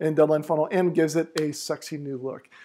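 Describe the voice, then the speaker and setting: A man's dark, mellow voice holds a monotone, flat intonation. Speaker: company founder. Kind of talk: product announcement.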